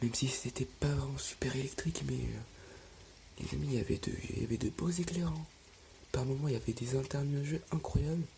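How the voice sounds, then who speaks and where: A man whispers at a moderate pace. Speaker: storm chaser vlogger. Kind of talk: live commentary. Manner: whispering; halting.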